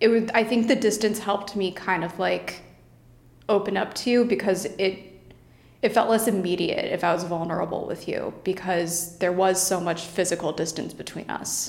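An unremarkable speaking voice is heard here. Its pace is moderate and its intonation fairly even. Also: woman, medium pitch for a woman. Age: 20s. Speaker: cancer survivor. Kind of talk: casual chat.

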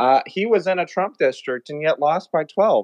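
A man with an American accent and an ordinary speaking voice, at a moderate pace with ordinary pitch variation. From Texas. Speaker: caller. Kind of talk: call-in political discussion.

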